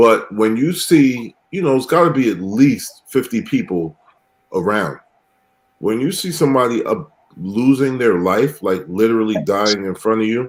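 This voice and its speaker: A man speaks with a New York accent at a moderate pace. His pitch is medium and his intonation lively. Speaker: podcast host. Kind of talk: casual chat.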